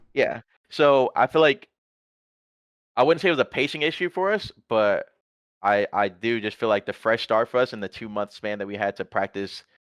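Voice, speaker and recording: A man's medium-pitched voice with lively intonation and long, frequent pauses, in a dry, close sound with no echo. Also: quiet background. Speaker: esports pro player. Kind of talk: casual chat. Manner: fast.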